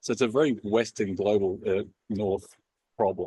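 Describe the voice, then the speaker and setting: The recording is dry and close with no echo and a quiet background. A man with an Australian accent speaks at a medium pitch. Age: 40s. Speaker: company founder and CEO. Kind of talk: talk to a live audience. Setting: event with audience.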